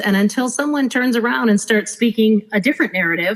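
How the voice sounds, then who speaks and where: At a moderate pace, a woman talks in a fairly high, somewhat breathy voice. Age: 50s. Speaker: former cruise director. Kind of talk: casual chat.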